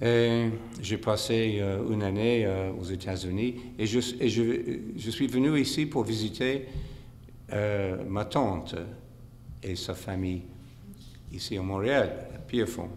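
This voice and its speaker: With a non-native accent and a fairly low pitch, a man speaks at a very slow pace with ordinary pitch variation and long, frequent pauses, in a room with audible echo. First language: English (speaking French). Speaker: monk, spiritual teacher. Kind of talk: lecture. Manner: halting, many hesitations.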